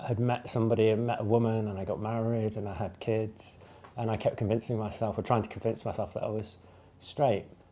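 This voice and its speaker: At a fairly quick pace, a man talks in a dark, mellow tone at a medium pitch, his intonation monotone and flat. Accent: English Midlands. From English Midlands. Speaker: LGBT community member sharing experience. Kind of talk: testimony. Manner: hesitant, many fillers.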